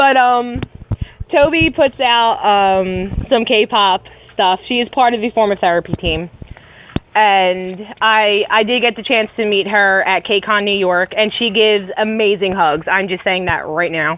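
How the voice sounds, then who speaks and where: Talking at a fairly slow pace, a woman speaks in an American accent. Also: medium pitch for a woman, ordinary pitch variation. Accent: Philly accent, comes out only when angry. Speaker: podcast co-host. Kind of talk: casual chat.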